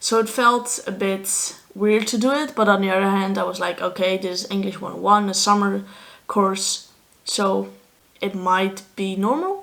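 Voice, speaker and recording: At a moderate pace, a woman with a Dutch accent speaks at a medium pitch with fairly even intonation. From Netherlands. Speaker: vlogger, student athlete. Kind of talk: casual vlog monologue.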